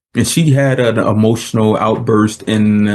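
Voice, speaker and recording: A man is talking with fairly even intonation. His pitch sits in the medium range. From United States. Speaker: podcast host. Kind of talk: casual interview chat.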